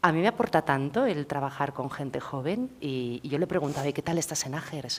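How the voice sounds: A woman speaks at a fairly quick pace in a low pitch. Her intonation is lively.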